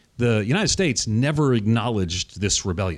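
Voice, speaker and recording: A man with a plain, everyday voice at a medium pitch and lively intonation, in a very clean recording with a silent background. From US Northeast, Long Island, New York. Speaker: pastor and author. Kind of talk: theological interview discussion. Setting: studio.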